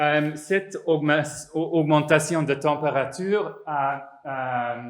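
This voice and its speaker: A man's fairly high voice at a very slow pace, fairly even in intonation, with audible room echo. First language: not French (speaking French). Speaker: psychologist and professor. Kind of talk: conference talk. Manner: halting, many hesitations and repetitions.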